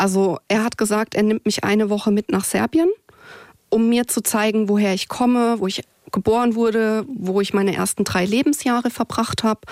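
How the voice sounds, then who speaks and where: A woman with a plain, everyday voice and a fairly high pitch speaks at a moderate pace, her loudness very even and her pitch variation ordinary, in a dry, close sound with no echo. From southwestern Germany, near Heidelberg. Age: 30s. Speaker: insurance claims worker. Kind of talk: podcast interview, personal life story.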